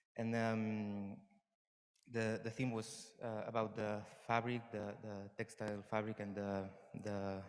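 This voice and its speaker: With audible room echo, a man speaks at a fairly low pitch and fairly slow pace. His intonation is monotone and flat, with long, frequent pauses. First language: Catalan or Spanish. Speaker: performer / dancer. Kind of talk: conference talk. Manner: halting, many fillers and repeats.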